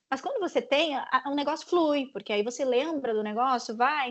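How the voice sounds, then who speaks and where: A woman at a moderate pace with lively intonation. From southern Brazil, Rio Grande do Sul. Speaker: sports journalist. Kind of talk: panel talk with students. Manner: casual, many fillers and repetitions.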